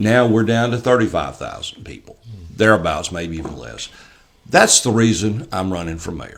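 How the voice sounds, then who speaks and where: A man with an Alabama accent, fairly low in pitch, with vocal fry, lively intonation and a moderate pace. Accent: Southern US (Alabama). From US South. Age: 60s. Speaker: mayoral candidate. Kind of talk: casual interview.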